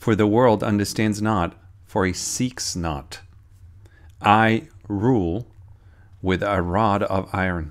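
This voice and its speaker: Against a quiet background, a man speaks very slowly at a fairly low pitch, leaving long, frequent pauses. His tone is solemn and intense, with ordinary pitch variation. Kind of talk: sermon-style prophetic teaching, reading a received prayer message. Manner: earnest, urgent, warning tone; fervent, solemn prayer-like delivery with intense urgent pleas. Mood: solemn, earnest. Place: home room. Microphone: phone near.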